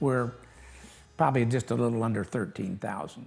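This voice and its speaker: Music plays in the background as a man talks with an American accent. His pitch is medium and his intonation fairly even. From US Midwest, west-central Illinois. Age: 70s. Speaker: local historical society officer. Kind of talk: interview. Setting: museum. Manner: halting, many fillers.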